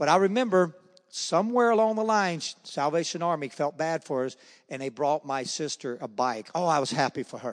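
A man speaks at a fairly quick pace with a Southern US accent and lively intonation. His pitch is fairly high, and the background is quiet. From US South, Charlotte, North Carolina. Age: 60s. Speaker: former baseball player. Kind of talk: testimony. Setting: church. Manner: fast talker.

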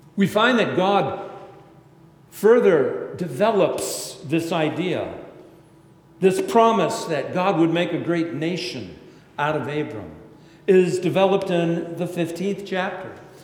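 In a high pitch with ordinary pitch variation, a man talks at a very slow pace with long, frequent pauses against noticeable background noise. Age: 60s. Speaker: pastor. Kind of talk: sermon. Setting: church.

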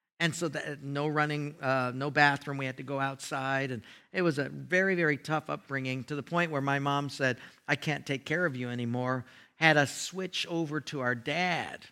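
A man's fairly high voice, bright and sharp in tone, with fairly even intonation at a moderate pace, in a very clean recording with a silent background. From Hawaii. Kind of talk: sermon. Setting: church.

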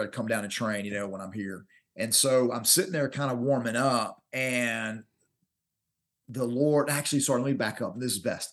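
This man speaks with a Southern US accent at a fairly quick pace and a medium pitch. His pitch varies in an ordinary way against a quiet background. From Alabama. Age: 40s. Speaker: martial arts instructor. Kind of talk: interview.

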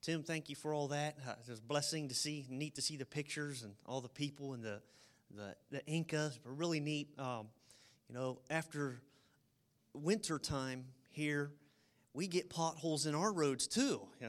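Here is a man with an ordinary speaking voice at a fairly high pitch. He keeps a moderate pace and ordinary pitch variation. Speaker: church leader. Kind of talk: prayer. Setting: church.

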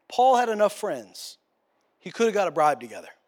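A man's high-pitched voice on a very clean recording with a silent background. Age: 30s. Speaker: pastor. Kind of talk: sermon.

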